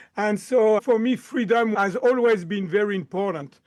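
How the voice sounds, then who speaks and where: Over a quiet background, a man with a slight French accent speaks with ordinary pitch variation. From France, Lyon. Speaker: chiropractor and mind-body coach. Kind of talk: podcast interview.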